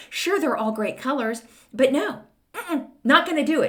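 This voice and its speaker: The tone is animated, bright and sharp, in an American accent. Vocal fry runs through the voice. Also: woman. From Texas. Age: 60s. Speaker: podcast host. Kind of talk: casual monologue.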